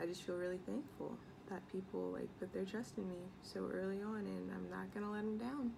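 A woman with an American accent at a moderate pace, very even loudness, long and frequent pauses, noticeable background noise. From US Midwest. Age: 18, college student. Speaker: beauty and lifestyle vlogger; college student vlogger. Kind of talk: casual vlog chat. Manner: chatty, many fillers. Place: home room. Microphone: phone near.

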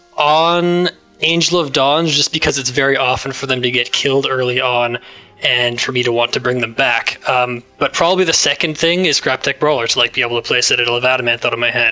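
A man with a Canadian accent talks at a fairly quick pace, his medium pitch showing ordinary variation. His loudness stays very even, while noticeable background noise runs underneath. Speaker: co-host, card game player. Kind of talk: casual chat.

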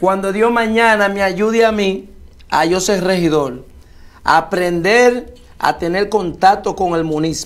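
A man talks at a fairly slow pace in a high-pitched voice. His pitch varies an ordinary amount. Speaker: local political candidate, former baseball player. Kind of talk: interview.

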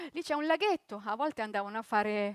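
A woman speaks in a raised, projected voice with a bright, sharp tone. The sound is dry with no echo, over a quiet background. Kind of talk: theatrical monologue and narration. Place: stage.

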